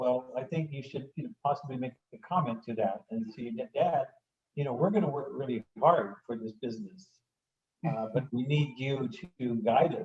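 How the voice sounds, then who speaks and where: At a moderate pace, a man with a somewhat breathy, medium-pitched voice speaks with lively intonation. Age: 70s. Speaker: family business founder, audience participant. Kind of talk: casual discussion comment in webinar. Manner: halting, many fillers.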